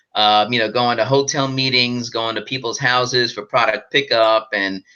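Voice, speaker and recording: The voice has a bright, sharp tone and a monotone, flat intonation. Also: man. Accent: American. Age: 50s. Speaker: network marketer. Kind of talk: live group call. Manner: halting, many fillers.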